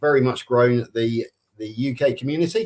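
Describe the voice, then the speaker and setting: A man of medium pitch with a West Country accent, at a moderate pace. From Somerset, England. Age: 60s. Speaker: carnivore community ambassador. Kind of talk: personal introduction on live stream.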